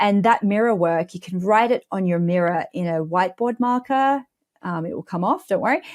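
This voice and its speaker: With an Australian accent, a woman speaks at a moderate pace in a medium-pitched voice with lively intonation, recorded dry and close with no echo. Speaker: money mindset coach. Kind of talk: podcast interview.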